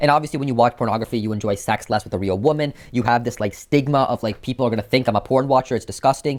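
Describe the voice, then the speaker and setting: Speaking very fast with an American accent and hardly any pauses, this voice shows ordinary pitch variation. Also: man, medium pitch for a man. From United States. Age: 20s. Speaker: YouTuber and software engineer. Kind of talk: personal vlog narration. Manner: casual, conversational.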